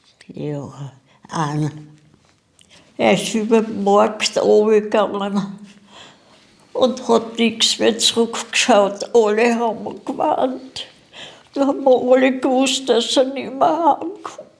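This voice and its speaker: Lively intonation marks this woman's fairly high voice. She talks at a very slow pace with long, frequent pauses. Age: 80s+. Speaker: war eyewitness. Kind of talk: interview.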